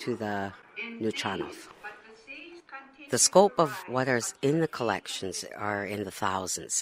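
The speech comes at a fairly slow pace with a dry sound and no echo, though there is noticeable background noise. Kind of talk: guided tour explanation. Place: hall.

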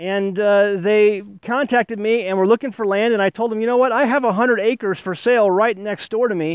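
Against a quiet background, a man speaks at a moderate pace in a high voice. The sound is dry, without echo. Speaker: homesteading channel host. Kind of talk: casual vlog chat. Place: forest.

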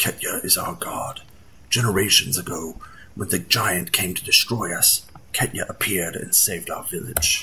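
A man does a put-on character voice, low in pitch with a bright, sharp tone. He talks fairly slowly with ordinary pitch variation over faint background noise.

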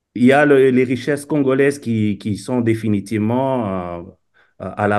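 Fairly slow speech from a man, ordinary pitch variation, quiet background. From Democratic Republic of the Congo. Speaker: Congolese diaspora commentator. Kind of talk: video call discussion. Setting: video call. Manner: halting with frequent repetitions. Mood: serious, indignant. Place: home room. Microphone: video call.

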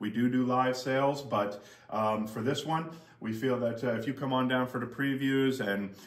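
The intonation stays fairly even, and the room echo is audible. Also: man. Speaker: auctioneer. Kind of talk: auction house item presentation to camera. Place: shop. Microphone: camera far.

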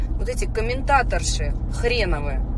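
Noticeable background noise accompanies a woman whose voice sounds dry, with no echo. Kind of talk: casual vlog rant. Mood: indignant, scolding. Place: car. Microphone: phone near.

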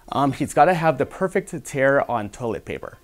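A man is speaking. Faint music sounds in the background. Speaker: radio interviewee. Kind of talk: interview answer. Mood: amused, storytelling. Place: studio. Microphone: lapel.

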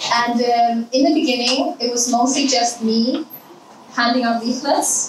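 A woman talks at a moderate pace amid loud background noise, with audible room echo around her voice. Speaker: conference speaker. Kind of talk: presentation talk. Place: hall.

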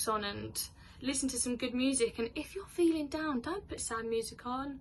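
A woman speaks at a moderate pace in a high voice. Her pitch varies normally, over light background noise. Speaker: vlogger. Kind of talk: casual vlog chat. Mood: open, warm, sometimes laughing. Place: home room. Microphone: phone near.

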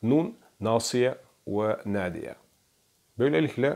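On a very clean recording with a silent background, a man talks with a non-native accent. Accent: non-native Turkish. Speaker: religious researcher presenting Quran study. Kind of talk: lecture. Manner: halting, many fillers.

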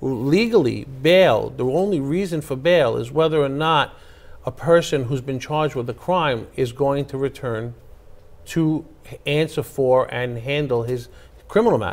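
A man with a New York accent, fairly high pitch, ordinary pitch variation and a fairly slow pace. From Queens, New York. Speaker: attorney and former city councilman; attorney, former city councilman. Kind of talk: political interview. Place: studio. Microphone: lapel.

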